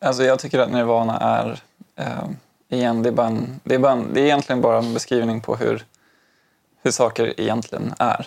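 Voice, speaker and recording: Here a man speaks at a fairly quick pace in a medium pitch, with long, frequent pauses. His intonation is monotone and flat. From Umeå, then Stockholm from age eight. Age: 30s. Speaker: high school teacher and zen practitioner. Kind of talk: casual interview. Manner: halting, many fillers and restarts.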